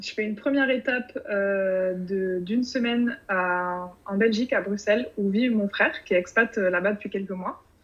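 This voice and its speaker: At a moderate pace with hardly any pauses, a woman speaks at a medium pitch with ordinary pitch variation. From France, Bordeaux region. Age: 30s. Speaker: podcast writer about to move abroad. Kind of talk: interview. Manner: hesitant, many fillers.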